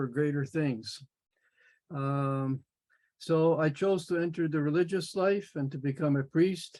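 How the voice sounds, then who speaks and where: Quiet background behind a man with a Canadian accent. His voice sits fairly high and his intonation stays fairly even. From Manitoba, Canada. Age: 70s. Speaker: workshop participant, former priest. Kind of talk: personal life story.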